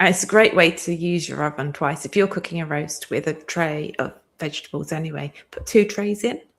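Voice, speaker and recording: A woman with a normal speaking voice, fairly low in pitch, with ordinary pitch variation and a fairly quick pace. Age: 50s. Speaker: grower, farmer. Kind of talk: live-stream chat interview.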